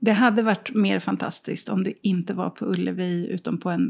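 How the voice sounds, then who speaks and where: This woman speaks at a fairly slow pace with vocal fry, a medium pitch and fairly even intonation. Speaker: podcast co-host. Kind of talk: casual chat. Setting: co-host's art studio, sharing one mic.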